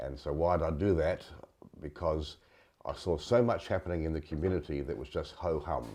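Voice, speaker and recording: A man speaks at a moderate pace in a very deep, low voice with a dark, mellow tone, some vocal fry and ordinary pitch variation, over a quiet background. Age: 70s. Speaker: leadership consultant. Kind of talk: interview.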